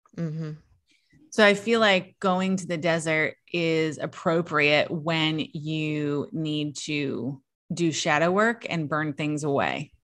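A woman speaks very slowly in a very deep, low voice with an American accent, recorded very cleanly against a silent background. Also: ordinary pitch variation. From US South, southeast Virginia. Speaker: podcast host, witch. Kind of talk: casual chat.

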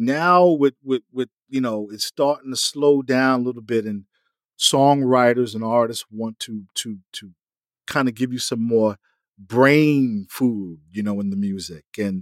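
Speaking at a fairly slow pace with a New York accent, a man uses a medium pitch with ordinary variation in a dry, close, very clean recording with no echo and a silent background. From US Northeast, Mount Vernon, New York. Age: 50s. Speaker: music industry insider. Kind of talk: interview. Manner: halting.

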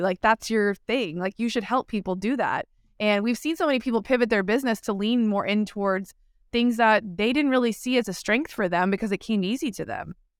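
A woman's fairly high-pitched voice, a normal speaking voice, at a fairly quick pace with ordinary pitch variation, dry and close with no echo, in a very clean recording over a silent background. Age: 40s. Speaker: podcast host. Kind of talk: interview.

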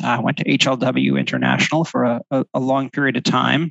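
A man with an American accent, fairly high-pitched with vocal fry, at a moderate pace. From New Jersey. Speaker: architect, firm president. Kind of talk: interview.

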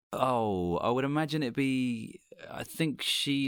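The speech moves at a fairly slow pace with ordinary pitch variation in a very clean recording with a silent background. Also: man. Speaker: comedian and voiceover narrator. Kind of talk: casual chat.

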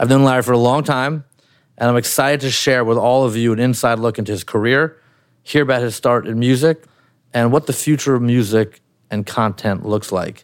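A man with an ordinary speaking voice at medium pitch, fairly even intonation and a fairly quick pace, on a very clean recording with a silent background. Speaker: interviewer. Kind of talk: interview. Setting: home.

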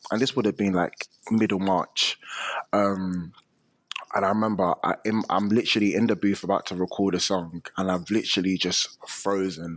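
A man's plain, everyday voice, fairly low and moderately paced, with fairly even intonation and a dry, close sound free of echo. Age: 20s. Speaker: musician. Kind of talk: interview.

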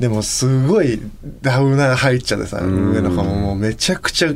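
Over noticeable background noise, a man talks at a fairly quick pace with a fairly low pitch and lively intonation. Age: 30s. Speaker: vocalist and podcast co-host. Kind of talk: casual chat.

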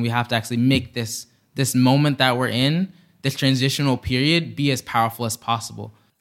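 This man has a plain, everyday voice at medium pitch with fairly even intonation and a fairly quick pace. The recording is very clean, with a silent background. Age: young. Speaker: climate activist. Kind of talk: interview.

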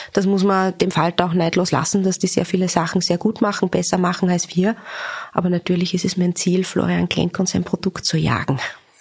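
The voice moves at a fairly quick pace with monotone, flat intonation and very even loudness amid noticeable background noise. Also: woman, medium pitch for a woman. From Upper Austria. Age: 30s. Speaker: magazine editor-in-chief. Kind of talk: interview.

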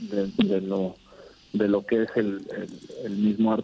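Against noticeable background noise, a man with a Mexican accent speaks with lively intonation. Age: 30s. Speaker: sports artist, custom painter. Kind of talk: interview. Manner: halting, many repeated words.

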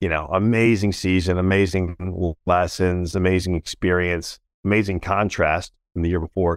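Speaking with an American accent, a man with a very deep, low pitch talks at a moderate pace in a monotone, flat intonation, recorded dry and close with no echo on a very clean, silent background. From Washington, D.C. area. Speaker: business CEO and former NFL player. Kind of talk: casual interview.

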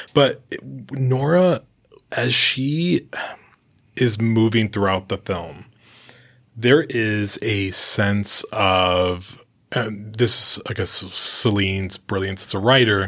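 Using a fairly low pitch, a man speaks at a very slow pace with long, frequent pauses. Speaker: entertainment journalist and podcast host. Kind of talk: interview.

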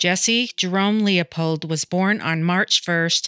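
Recorded very cleanly against a silent background, a woman's bright, sharp voice sounds dry and close with no echo, her intonation fairly even. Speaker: true crime podcast narrator. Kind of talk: true crime narration. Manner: measured, sombre, even-paced narration; formal, informational delivery.

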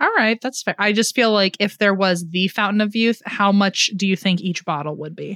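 A woman talks in a normal speaking voice at a medium pitch, moderate in pace with hardly any pauses. Her intonation is fairly even, and the sound is dry and close with no echo. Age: 20s. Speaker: podcast co-host. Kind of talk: casual chat.

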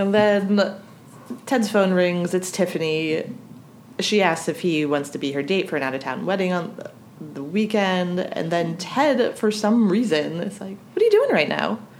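A woman with an American accent speaks at a medium pitch, with audible room echo around her voice. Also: ordinary pitch variation, moderate pace. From US snow belt. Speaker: podcast co-host. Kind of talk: casual chat.

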